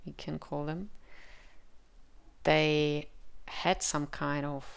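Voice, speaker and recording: A woman speaks with a Czech accent. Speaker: tarot reader. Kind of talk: tarot reading with channeled messages. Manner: halting, with frequent fillers.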